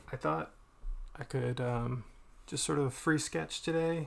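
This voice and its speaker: A man speaks at a medium pitch. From Boston, US. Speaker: artist streaming while drawing. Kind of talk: casual live-stream chat. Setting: live stream. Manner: mumbling; halting, many fillers.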